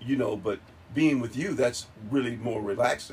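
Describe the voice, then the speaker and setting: A man of medium pitch speaks at a moderate pace in a somewhat breathy voice, with ordinary pitch variation. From Charlotte, North Carolina. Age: 50s. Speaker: host's father. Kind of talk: casual chat. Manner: halting, many fillers.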